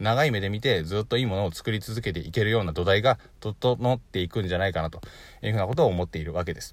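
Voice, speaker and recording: A man speaks at a very fast pace. His pitch is very deep and low, with ordinary variation. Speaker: online business podcaster. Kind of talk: solo podcast talk. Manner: stumbles over words often.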